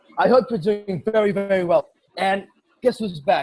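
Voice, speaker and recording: A loud, animated man at a moderate pace. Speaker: podcast host. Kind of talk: casual chat.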